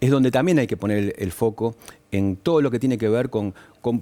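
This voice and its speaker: A man is talking. His pace is fairly quick. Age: 60s. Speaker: business association leader. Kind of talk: TV news interview. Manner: hesitant with fillers.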